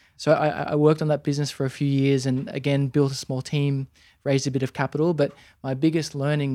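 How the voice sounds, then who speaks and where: A man with an Australian accent at a fairly high pitch, monotone and flat in intonation, dark and mellow in tone, at a fairly quick pace, in a very clean recording with a silent background and a dry, close sound with no echo. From Australia, Sydney. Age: 30s. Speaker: entrepreneur. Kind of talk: interview. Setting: in a warehouse. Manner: halting.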